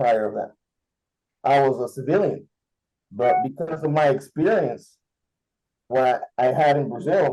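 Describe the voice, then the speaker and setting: Speaking at a fairly slow pace, a man with a Spanish accent has a fairly high pitch and a dark, mellow tone. His pitch moves in an ordinary way. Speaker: contactee guest on panel. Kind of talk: interview. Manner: halting.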